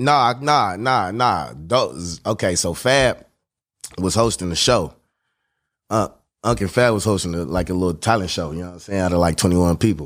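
In a very clean recording with a silent background, a man with a very deep, low pitch speaks with lively intonation. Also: moderate pace. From Oakland, California. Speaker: rapper. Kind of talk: casual interview chat.

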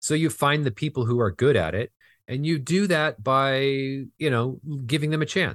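A man with a Californian accent talks at a fairly high pitch and a moderate pace with ordinary pitch variation, in a dry, close sound with no echo. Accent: General American (Californian). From Southern California. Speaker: film finance executive. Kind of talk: interview.

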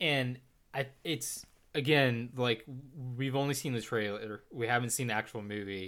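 Bright, sharp tone from a man at medium pitch, with ordinary pitch variation and a moderate pace, on a very clean recording with a silent background. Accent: Texan. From Texas. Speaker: film podcast co-host. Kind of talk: casual chat.

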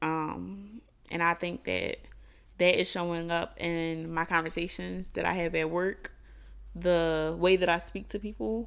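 In a very clean recording with a silent background, a woman speaks fairly slowly with a plain, everyday voice, a fairly low pitch and fairly even intonation. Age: 20s. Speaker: podcast co-host. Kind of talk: casual chat.

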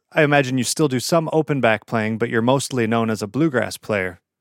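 A man speaks in a normal speaking voice at a moderate pace with ordinary pitch variation. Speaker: podcast host. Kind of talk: casual interview. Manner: friendly, conversational.

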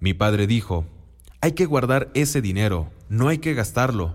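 At a moderate pace, a man with a medium-pitched voice makes very wide pitch swings. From Mexico, Oaxaca. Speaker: businessman. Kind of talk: scripted narration.

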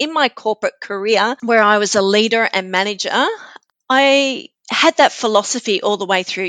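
Delivered at a moderate pace with lively intonation and an Australian accent, the voice has a dry, close sound with no echo. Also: woman. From Australia, New South Wales mid north coast. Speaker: neuroscience coach and author. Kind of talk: interview conversation.

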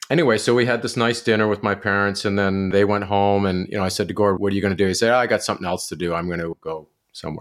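Over a very clean recording with a silent background, a speaker with a Canadian accent talks very fast with fairly even intonation. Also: man, fairly low pitch for a man. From Ontario, Canada (near Kingston). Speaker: documentary filmmaker. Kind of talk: interview conversation.

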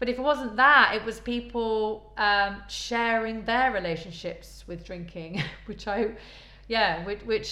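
A woman speaks with a Midlands accent and a bright, sharp tone. Her fairly slow delivery carries audible room echo. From English Midlands, Leicester. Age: 40s. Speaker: podcast host. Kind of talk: personal testimony. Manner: hesitant, many fillers.

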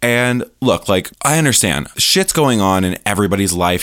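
On a very clean recording with a silent background, a man speaks in an animated tone at a moderate pace with ordinary pitch variation. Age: 20s. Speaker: podcast host. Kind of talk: casual monologue.

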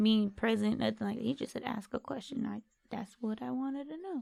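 Fairly high in pitch with ordinary pitch variation, a woman speaks at a moderate pace in an ordinary speaking voice. The sound is dry and close, with no echo. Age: 20s. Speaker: host's sibling, anime discussion guest. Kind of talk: casual chat.

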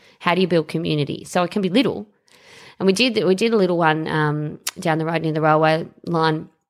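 With an Australian accent, a woman speaks at a fairly quick pace in a fairly low pitch with ordinary pitch variation, on a very clean recording with a silent background. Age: 40s. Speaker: superannuation fund executive and local councillor. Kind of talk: casual interview.

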